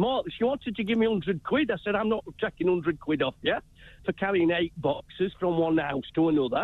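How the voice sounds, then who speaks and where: Talking at a fairly quick pace, a man uses lively intonation in a Yorkshire accent. His loudness stays very even. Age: 60s. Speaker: caller, retired handyman. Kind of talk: phone-in call. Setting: phone call. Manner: chirpy.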